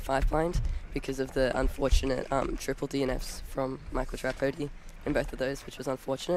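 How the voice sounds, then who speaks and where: The speaker talks at a fairly quick pace in an Australian accent, with monotone, flat intonation. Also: man. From Australia (Queensland). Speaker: competitive speedcuber. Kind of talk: interview.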